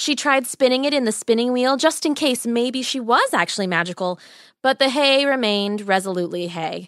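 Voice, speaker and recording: A woman speaks fairly quickly in a high voice with an animated, playful tone and lively intonation. The recording is very clean, with a silent background. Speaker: podcast storyteller. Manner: warm, wry storyteller.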